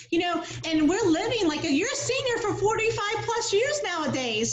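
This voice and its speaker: With an American accent, a woman speaks at a moderate pace with ordinary pitch variation, and audible room echo surrounds her voice. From South Florida. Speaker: home health care area director. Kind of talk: casual interview chat.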